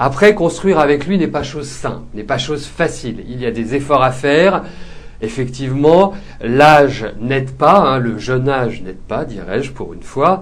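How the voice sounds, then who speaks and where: Audible room echo surrounds a man whose fairly high voice moves at a moderate pace with lively intonation. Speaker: psychic tarot reader show host. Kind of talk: live psychic reading show. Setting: live webcam show. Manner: hesitant, many fillers.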